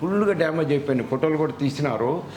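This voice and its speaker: With noticeable background noise and audible room echo, a man speaks in a fairly high pitch with lively intonation. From Andhra Pradesh, Machilipatnam. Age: 70s. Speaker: dental patient. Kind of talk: testimony.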